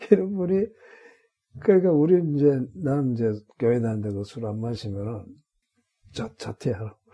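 At a moderate pace, the speaker has a dark, mellow tone, very wide pitch swings, big swings in loudness and long, frequent pauses. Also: man, medium pitch for a man. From Korea, North Gyeongsang (Gunwi). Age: 80s+. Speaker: retired senior pastor. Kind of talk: interview, life story. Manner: halting, many fillers and restarts.

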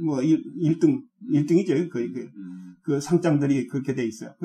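In a Jeolla accent, a man speaks at a moderate pace with lively intonation and a dark, mellow tone. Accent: Jeolla dialect Korean. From South Korea, South Jeolla (Haenam). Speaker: retired pastor and theology professor. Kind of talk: interview. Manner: halting, many fillers.

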